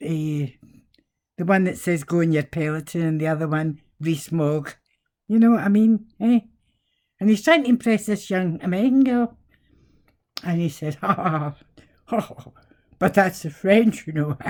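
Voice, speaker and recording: A woman with a Scottish accent, fairly low in pitch, lively in intonation, at a moderate pace with long, frequent pauses, on a very clean recording with a silent background. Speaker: vlogger. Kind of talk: casual monologue. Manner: animated.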